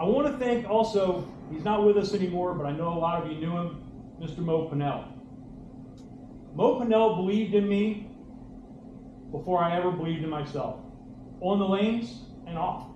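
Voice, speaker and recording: Loud and fairly quick, a man speaks at a high pitch with ordinary variation, leaving long, frequent pauses. Noticeable background noise and audible room echo fill the recording. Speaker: bowling coach and former pro bowler. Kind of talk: hall of fame acceptance speech. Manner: animated, halting with repeats.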